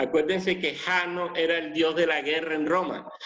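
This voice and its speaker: This man speaks at a high pitch. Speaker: pastor. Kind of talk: sermon.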